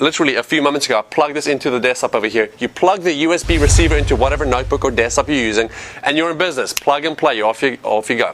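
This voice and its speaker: Noticeable background noise accompanies a man speaking at a very fast pace. His fairly high voice has lively intonation. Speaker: product reviewer. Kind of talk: product demo. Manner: animated.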